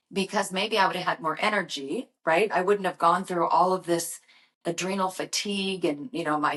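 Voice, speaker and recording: This woman has a plain, everyday voice at a medium pitch, speaking at a fairly quick pace with fairly even intonation. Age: 60s. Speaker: brand creator and motivational vlogger. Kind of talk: motivational talk to camera. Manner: casual, conversational.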